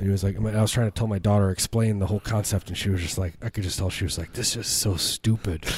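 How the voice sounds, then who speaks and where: With hardly any pauses, a man rushes along at a very fast pace in a somewhat breathy, fairly low voice with fairly even intonation. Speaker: comedy podcast host. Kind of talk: casual chat. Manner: joking, rambling.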